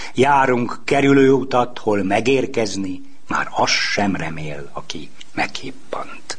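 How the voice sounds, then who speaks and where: Over noticeable background noise and audible room echo, a man at medium pitch talks at a very slow pace with lively intonation. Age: 60s. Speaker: poet and book publisher. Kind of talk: reading aloud own poems.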